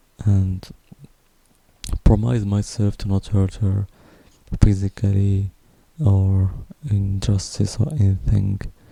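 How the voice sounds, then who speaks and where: A man with a dark, mellow tone and a somewhat breathy, fairly low voice speaks at a very slow pace with fairly even intonation and long, frequent pauses. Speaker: vlogger. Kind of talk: personal testimony. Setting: at home at night. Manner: quiet, speaking softly at night; halting. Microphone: broken pop filter, possible plosive noise.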